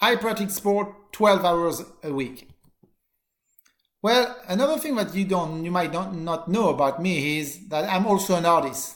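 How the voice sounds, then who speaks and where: Speaking with a French accent, a man uses a high pitch and lively intonation at a fairly slow pace, with audible room echo around him. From southern France (Marseille). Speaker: college teacher. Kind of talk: course introduction video. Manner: halting.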